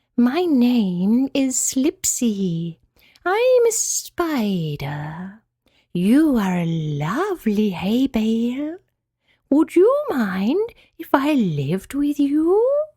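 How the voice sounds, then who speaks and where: Putting on a character voice, a woman speaks very slowly at a high pitch with very wide pitch swings. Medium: read story. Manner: whispering.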